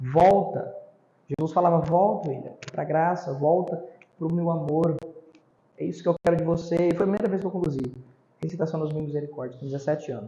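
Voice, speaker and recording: A man speaks with a high pitch and a dark, mellow tone, using ordinary pitch variation. His pace is fairly quick, broken by long, frequent pauses. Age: 20s. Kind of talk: casual interview.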